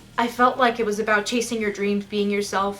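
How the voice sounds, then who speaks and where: A woman's fairly high voice in a Pacific Northwest accent. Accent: American, Pacific Northwest. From US Pacific Northwest, eastern Washington. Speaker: music reviewer, aspiring opera singer. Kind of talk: album review vlog.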